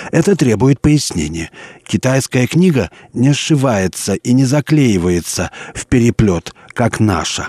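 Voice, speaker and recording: A man talks at a very slow pace with lively intonation, a dark, mellow tone and a medium pitch, in a dry, close sound with no echo. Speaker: sinologist radio presenter. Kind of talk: scripted narration. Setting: studio. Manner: formal.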